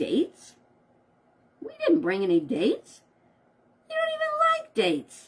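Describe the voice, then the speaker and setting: Putting on a squeaky character voice, a woman speaks at a moderate pace with long, frequent pauses. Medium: read story.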